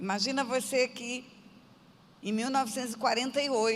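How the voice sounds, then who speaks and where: A woman with a plain, everyday voice talks at a moderate pace with fairly even intonation. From Brazil, Mato Grosso do Sul (Aquidauana). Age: 60s. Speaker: pastor. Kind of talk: testimony.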